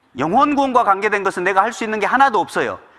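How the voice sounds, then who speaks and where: A man's voice comes through high-pitched and raised, projecting outward. The tone is bright and sharp. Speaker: pastor. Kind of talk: sermon. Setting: church. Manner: fast; occasional stumbles.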